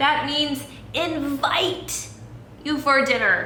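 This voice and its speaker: In a put-on character voice, a woman speaks at a very slow pace. Her pitch is high, with a slight echo around it. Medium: read story.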